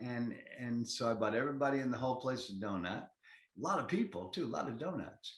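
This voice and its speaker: The pace here is moderate. A man speaks at a medium pitch. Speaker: actor. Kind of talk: interview answer. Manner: enthusiastic, energetic.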